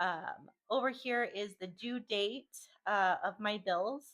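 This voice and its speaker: The delivery is very slow. The speaker has an American accent. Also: woman. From US Pacific Northwest. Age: 30s. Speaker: budgeting vlogger. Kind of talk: casual screen tutorial. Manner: casual, with frequent fillers.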